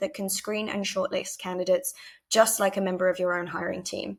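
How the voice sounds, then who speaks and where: A woman with a British accent speaks in a medium pitch. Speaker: head of marketing at a tech startup. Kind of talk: conference presentation with product demo. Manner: frequent filler ums.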